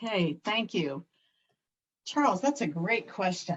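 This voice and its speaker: A woman with an American accent speaks at a moderate pace in a plain, everyday voice, her pitch sitting in the medium range. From US South. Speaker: playwright and social worker. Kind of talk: panel discussion. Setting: video call.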